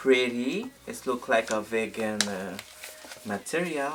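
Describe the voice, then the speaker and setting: The speaker talks at a fairly slow pace in a French accent. Noticeable background noise runs underneath. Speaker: beauty youtuber. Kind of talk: product unboxing and review vlog. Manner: animated.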